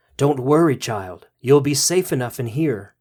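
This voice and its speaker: A man speaks quietly in a put-on character voice at a medium pitch. The recording is very clean, with a silent background. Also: moderate pace. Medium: read story. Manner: quiet, knowing, calm.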